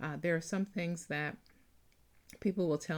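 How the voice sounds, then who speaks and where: A woman talks at a fairly low pitch with ordinary pitch variation. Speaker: author and podcast host. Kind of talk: casual podcast talk. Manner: hesitant, many filler words.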